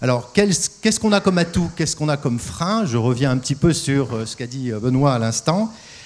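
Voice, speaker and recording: Pitch swings very widely as a man speaks at a fairly quick pace. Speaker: industrial company executive. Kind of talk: panel discussion. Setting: stage with audience. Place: stage. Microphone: handheld.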